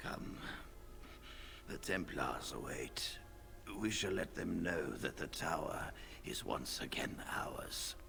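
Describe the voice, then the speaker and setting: A man whispers in a put-on character voice at a fairly slow pace. He leaves long, frequent pauses while loud background noise plays. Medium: video game. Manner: measured, formal.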